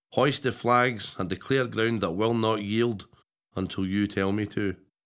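The man's voice sits fairly low, and his intonation stays fairly even. He talks at a fairly slow pace against a quiet background. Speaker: poet. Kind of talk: poetry reading. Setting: studio. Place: studio.

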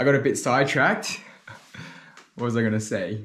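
A man at a moderate pace with fairly even intonation, faint music in the background. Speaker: spearfishing vlogger. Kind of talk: casual vlog chat. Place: home room.

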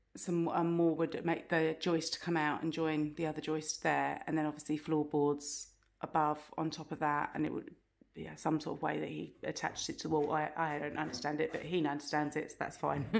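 A woman with a very deep, low pitch and vocal fry, monotone and flat, at a moderate pace against a quiet background. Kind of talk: casual vlog chat. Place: home room. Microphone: phone near.

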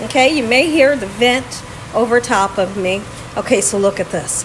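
A woman speaks at a fairly slow pace in a high pitch with lively intonation, over noticeable background noise. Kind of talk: tutorial. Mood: warm, upbeat. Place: kitchen. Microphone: phone near.

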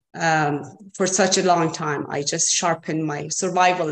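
A woman with a Persian accent, fairly low-pitched, at a fairly slow pace. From Iran. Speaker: artist. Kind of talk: online artist talk. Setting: video call. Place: home room. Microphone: video call.

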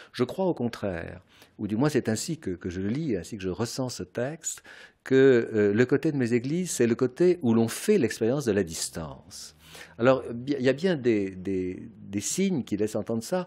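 In a quiet background, a man with a dark, mellow tone makes very wide pitch swings. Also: moderate pace. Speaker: philosopher. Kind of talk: radio interview answer. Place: home room. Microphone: studio mic.

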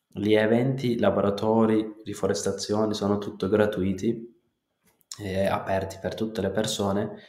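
Audible room echo surrounds a man with a fairly low pitch and a dark, mellow tone. His intonation is monotone and flat, and his pace fairly slow. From Kurdistan, Turkey. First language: Turkish or Kurdish (speaking Italian). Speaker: natural farmer. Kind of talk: interview.

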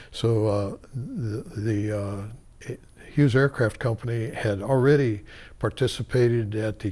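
A somewhat breathy man with an American accent and fairly even intonation. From Tucson, Arizona. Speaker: oral history interviewee, former community board co-chair. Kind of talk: oral history interview, recalling the past. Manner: halting, hesitant with filler words and restarts; slow, reflective, rambling storytelling of an elder. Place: studio.

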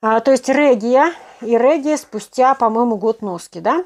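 A woman talks with a fairly high voice and ordinary pitch variation, the background around her quiet. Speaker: knitting blogger; knitting live-stream host. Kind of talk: live stream Q&A. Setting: live online broadcast. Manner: casual, conversational. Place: home room. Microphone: poor connection, stream lagging; phone near.

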